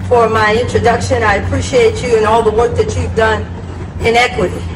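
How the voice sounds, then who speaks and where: A woman talks fairly quickly with very even loudness over noticeable background noise. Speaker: pastor. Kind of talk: public speech. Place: street.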